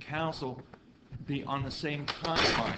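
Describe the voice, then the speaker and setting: In an American accent, a man speaks with audible room echo. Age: 60s. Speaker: county council member. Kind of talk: public meeting debate. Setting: council meeting.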